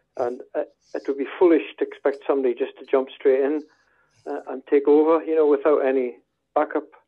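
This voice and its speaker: A man with a Scottish Borders accent talks at a fairly quick pace in a fairly high voice. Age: 70s. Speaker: football club secretary. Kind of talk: interview.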